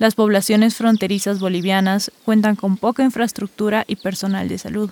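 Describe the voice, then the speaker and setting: A woman speaks at a medium pitch and a moderate pace with monotone, flat intonation, the sound dry and close with no echo. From Bolivia. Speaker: podcast host. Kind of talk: scripted narration.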